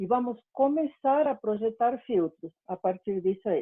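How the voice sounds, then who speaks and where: A woman speaks with a fairly high pitch and ordinary pitch variation. It is an ordinary speaking voice. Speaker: university lecturer. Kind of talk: lecture. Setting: online class.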